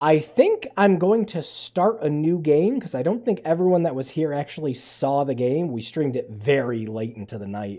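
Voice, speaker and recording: This man's voice has a dark, mellow tone and a fairly high pitch. It swings very widely in pitch at a moderate pace. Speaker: gaming streamer. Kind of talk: live game stream chat. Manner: quieter than usual; halting.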